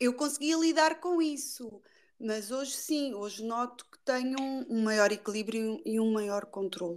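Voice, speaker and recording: Woman with a high pitch, lively intonation and big swings in loudness, at a fairly slow pace. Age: 40s. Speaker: podcast guest sharing personal story. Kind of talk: interview.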